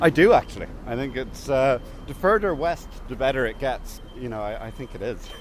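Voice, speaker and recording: A man with a southern Irish accent, fairly high-pitched, talking at a fairly quick clip with lively intonation and big jumps in loudness, over noticeable background noise. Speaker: interviewee. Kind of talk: interview. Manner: hesitant, many fillers.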